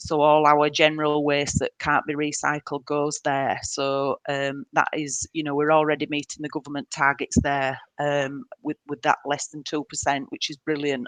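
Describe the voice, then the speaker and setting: A woman's very deep, low voice in a northern English accent, flat and monotone, at a moderate pace with hardly any pauses, in a dry, close sound with no echo. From northern England, Leeds. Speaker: council waste services manager. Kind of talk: webinar presentation. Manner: hesitant, many fillers.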